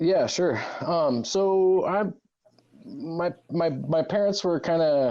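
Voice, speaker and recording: Speaking at a very slow pace with very even loudness, a man uses a high voice with a dark, mellow tone and lively intonation. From US Pacific Northwest, Walla Walla, Washington. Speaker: cannabis industry figure. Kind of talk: interview. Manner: casual, hesitant with fillers.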